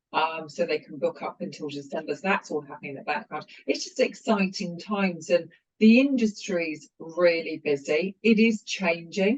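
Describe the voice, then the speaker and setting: Someone with a British accent speaks at a moderate pace. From UK. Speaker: company founder and CEO. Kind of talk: interview.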